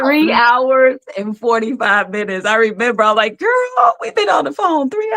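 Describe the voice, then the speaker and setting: A woman with a high pitch talks at a moderate pace with very wide pitch swings. Noticeable background noise can be heard. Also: hardly any pauses. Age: 60s. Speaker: talk show host. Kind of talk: casual chat.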